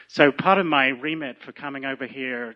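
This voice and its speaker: A man with a British accent talks at a fairly high pitch and a moderate pace. His pitch varies in an ordinary way. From UK. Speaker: physician and movement teacher. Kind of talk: lecture introduction.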